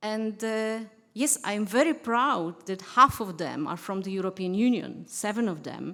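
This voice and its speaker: In a very clean recording with a silent background, a woman with a Polish accent speaks fairly slowly in a bright, sharp tone with ordinary pitch variation. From Poland. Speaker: diplomat. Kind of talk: conference speech. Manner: halting.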